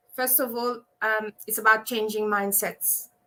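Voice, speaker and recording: A woman with a Mauritian accent, fairly high in pitch, with a bright, sharp tone and fairly even intonation on a very clean recording with a silent background. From Mauritius. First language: Mauritian Creole. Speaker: abuse survivor and advocate. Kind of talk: live panel discussion.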